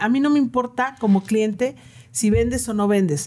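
Somewhat breathy speech with a dark, mellow tone, lively intonation and a moderate pace. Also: woman. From northern Mexico, Comarca Lagunera. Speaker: ice cream business owner and language teacher. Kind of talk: casual interview.

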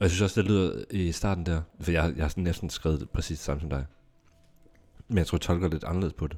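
At a fairly quick pace, a man with a very deep, low pitch and vocal fry speaks with ordinary pitch variation. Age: 30s. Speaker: podcast co-host. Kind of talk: casual chat. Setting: studio.

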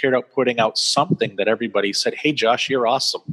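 A man speaks very fast with an American accent. The sound is dry and close, with no echo. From US Northeast (central Maine). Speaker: author. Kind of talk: interview. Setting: video call.

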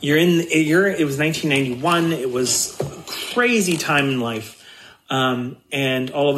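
In a normal speaking voice, a man talks with an American accent. His pitch is fairly high, his intonation lively. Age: 50s. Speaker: guest sharing life story. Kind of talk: personal testimony.

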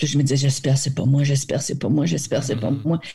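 A woman's voice has a dark, mellow tone and is somewhat breathy. The recording is very clean, with a silent background. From New Brunswick, Acadia. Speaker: actress. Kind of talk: interview.

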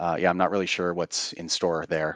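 A man with a Western Canadian accent at a fairly quick pace. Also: dry, close sound with no echo, quiet background. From Canada. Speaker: game community moderator. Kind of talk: casual chat.

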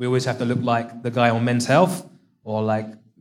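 This is a man speaking with an English accent. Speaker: CrossFit athlete and coach. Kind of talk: live Q&A panel. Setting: stage with audience.

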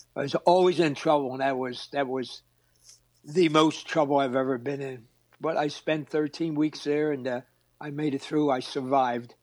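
A man's fairly high voice with a Philadelphia accent, at a moderate pace, monotone and flat, with long, frequent pauses. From Philadelphia, Pennsylvania. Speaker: retired Marine drill instructor. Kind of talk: interview storytelling.

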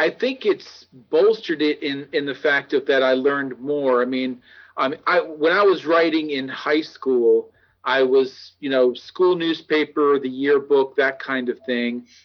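With an American accent, a man talks at a fairly slow pace, his fairly high pitch showing ordinary variation. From New Jersey. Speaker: author and retired navy journalist. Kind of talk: interview. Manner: halting.

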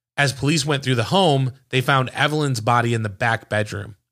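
The recording is very clean, with a silent background. A man speaks in a normal speaking voice at medium pitch, with ordinary pitch variation. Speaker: true crime podcast host. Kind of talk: dramatic narration of a true crime case, read as a story. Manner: grave, measured, suspenseful storytelling pace; conversational and relaxed when chatting.

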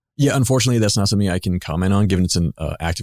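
A man with an American accent is heard in a very clean recording against a silent background. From Pittsburgh, Pennsylvania, US. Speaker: FBI supervisory agent. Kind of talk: interview.

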